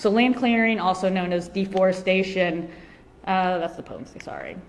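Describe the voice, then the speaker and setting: A woman's voice rises and falls sharply in loudness amid audible room echo. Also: medium pitch for a woman, fairly even intonation. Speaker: animal advocacy speaker. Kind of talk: conference talk. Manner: fast; hesitant with many fillers.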